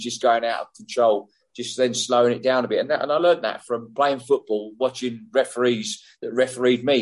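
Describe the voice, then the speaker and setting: In an English accent, a man speaks at a moderate pace with a medium pitch. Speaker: former football referee. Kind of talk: casual interview.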